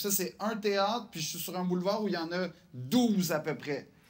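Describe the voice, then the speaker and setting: A man's high-pitched voice with a Quebec accent, at a moderate pace with ordinary pitch variation, on a very clean recording with a silent background. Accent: Québécois French. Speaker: comedian. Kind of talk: interview.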